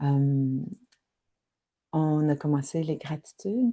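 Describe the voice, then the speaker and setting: A woman with a Quebec accent speaks in a dark, mellow tone. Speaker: spiritual wellness guide. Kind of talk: guided reflection livestream. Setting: live online session. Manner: halting, repeats words.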